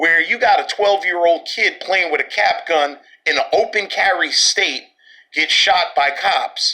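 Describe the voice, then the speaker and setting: With a New York accent, a man speaks in a raised, projected voice. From Brooklyn, New York. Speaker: podcast host. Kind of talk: social commentary monologue. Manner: animated.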